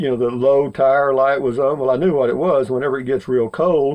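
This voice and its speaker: A man with a Texan accent, a dark, mellow tone, medium pitch, and ordinary pitch variation. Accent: Texan Southern US. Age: 70s. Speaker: vlogger. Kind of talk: casual monologue. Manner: rambling with many fillers.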